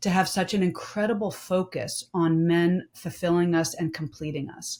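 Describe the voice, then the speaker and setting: The recording is very clean, with a silent background. A woman speaks in a somewhat breathy voice with ordinary pitch variation. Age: 50s. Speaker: domestic violence survivor and author. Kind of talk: panel discussion.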